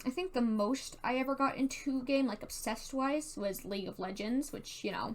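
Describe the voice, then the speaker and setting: Fairly quick, high-pitched speech from a woman with a Southern Californian accent. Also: ordinary pitch variation. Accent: Valley Girl. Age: 18. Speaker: YouTuber and theater tech worker. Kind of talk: casual monologue. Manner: casual, filler-heavy (like, dude).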